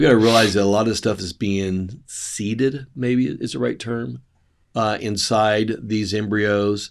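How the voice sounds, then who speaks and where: In a very clean recording with a silent background, a man with an unremarkable speaking voice keeps a fairly even intonation. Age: 60s. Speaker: doctor. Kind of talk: health podcast talk.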